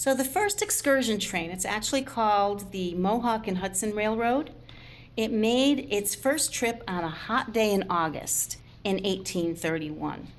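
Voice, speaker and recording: In a normal speaking voice, a woman with an American accent talks at a fairly slow pace, fairly high in pitch with ordinary pitch variation. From upstate New York, Schenectady. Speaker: museum guide and historian. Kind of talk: interview about history.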